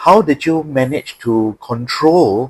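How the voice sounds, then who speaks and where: Medium pitch and ordinary pitch variation in a normal speaking voice from a man. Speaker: interviewer. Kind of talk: interview questions.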